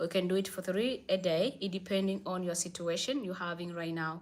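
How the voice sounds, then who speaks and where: A woman with a non-native accent is heard in a very clean recording with a silent background. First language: not English. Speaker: livestream host, spiritual advice. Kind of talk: live stream Q&A. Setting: live stream.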